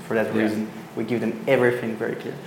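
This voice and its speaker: Noticeable background noise and audible room echo surround the recording. A man at medium pitch talks at a very fast pace with fairly even intonation. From Belgium. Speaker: startup founder. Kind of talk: interview. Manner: halting.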